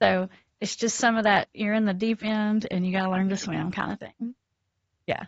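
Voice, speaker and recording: Somewhat breathy, a woman in a South Carolina accent speaks at a moderate pace and medium pitch with monotone, flat intonation. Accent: Southern US (South Carolina). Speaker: addiction counselor. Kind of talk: podcast interview.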